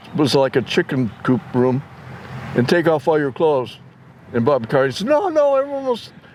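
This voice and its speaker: Fairly quick speech from a man with an American accent, noticeable background noise behind him. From San Diego, California. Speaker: family elder telling stories. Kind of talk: casual chat. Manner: halting.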